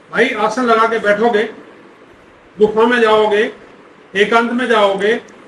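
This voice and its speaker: There is noticeable background noise behind a man with a high pitch. His intonation is monotone and flat, and he takes long, frequent pauses. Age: 70s. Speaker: palmist. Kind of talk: interview.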